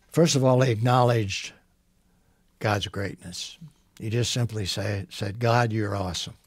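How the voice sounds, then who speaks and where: A man talks at a moderate pace in a somewhat breathy voice with ordinary pitch variation, the sound dry with no echo and the background quiet. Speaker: Bible teacher. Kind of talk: Bible teaching talk. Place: studio. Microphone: headset.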